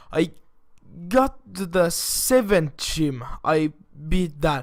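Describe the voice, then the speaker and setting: Speaking at a very slow pace, a man with a non-native accent uses lively intonation in a high pitch. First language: not English. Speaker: gaming YouTuber. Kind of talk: casual video monologue. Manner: halting.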